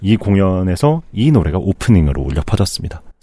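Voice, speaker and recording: A man speaks at a moderate pace with a fairly low pitch. His tone is dark and mellow, and his pitch swings very widely. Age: 30s. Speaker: music critic. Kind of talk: casual chat.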